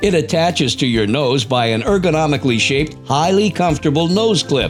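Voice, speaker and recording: Music plays in the background as a man with a fairly high pitch talks at a fairly quick pace, his pitch swinging very widely. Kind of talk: infomercial voice-over narration.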